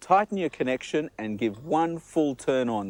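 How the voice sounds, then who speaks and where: Upbeat and enthusiastic, the voice with an Australian accent moves at a moderate pace with very wide pitch swings, in a dry, close sound with no echo. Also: man. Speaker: TV chef. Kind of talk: promotional cooking demonstration. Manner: upbeat, enthusiastic.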